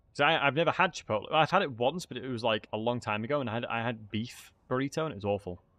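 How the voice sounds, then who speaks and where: A man with a Yorkshire accent talks at a very fast pace with hardly any pauses. His voice sits at a medium pitch, with lively intonation. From Yorkshire, northern England (Leeds area). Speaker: game streamer. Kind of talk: casual live-stream chat while gaming. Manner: casual, chatty.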